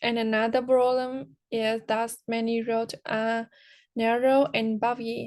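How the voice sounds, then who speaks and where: A woman speaks at a very slow pace with a high pitch. Her intonation is monotone and flat. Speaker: English language student. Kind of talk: class speaking exercise. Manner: halting.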